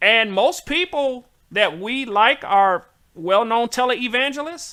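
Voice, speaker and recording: An extremely high-pitched man's voice in a Southern US accent, raised and projected, bright and sharp, animated in tone, with lively intonation at a fairly slow pace. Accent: southern drawl. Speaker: talk show host. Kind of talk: casual chat.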